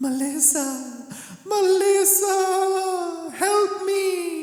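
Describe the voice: A put-on character voice at an extremely high pitch moves at a very slow pace. A clear echo surrounds it.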